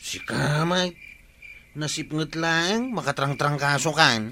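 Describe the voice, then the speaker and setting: A man's put-on character voice, fairly high in pitch, at a very slow pace. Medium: audio drama. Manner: jittery, excitable.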